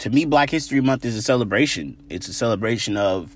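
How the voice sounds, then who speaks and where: An unremarkable speaking voice from a man with an American accent, lively intonation, and moderate pace, on a very clean recording with a silent background. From South Los Angeles. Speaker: interviewee. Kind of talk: personal testimony.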